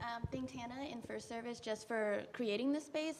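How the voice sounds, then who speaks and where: An ordinary speaking voice belongs to a woman with an American accent and a fairly high pitch. She talks at a fairly quick pace with ordinary pitch variation. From Prince George's County, Maryland. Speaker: church member panelist. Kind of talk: panel discussion. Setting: church service.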